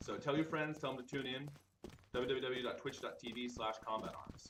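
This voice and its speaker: A man's medium-pitched voice at a fairly quick pace, fairly even in intonation, with audible room echo. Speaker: game production manager hosting live stream. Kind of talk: live stream presentation. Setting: office studio with others in the room. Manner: talking louder than usual. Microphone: too quiet, wrong microphone in use.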